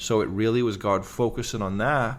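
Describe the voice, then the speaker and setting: A man's fairly low voice with a Liverpool accent and monotone, flat intonation. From England, Liverpool. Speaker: evangelist, former pro athlete. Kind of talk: podcast interview. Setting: kitchen at home.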